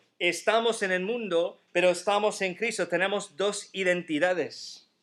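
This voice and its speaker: In a very clean recording with a silent background, a man speaks with an American accent. His pitch is high, his pace fairly slow and his intonation fairly even. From United States. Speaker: pastor. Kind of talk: sermon.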